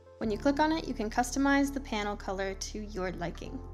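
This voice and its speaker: A woman talks at a fairly quick pace with a fairly high pitch while music plays in the background. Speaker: photographer and retoucher. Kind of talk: screen-recorded software tutorial. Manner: casual.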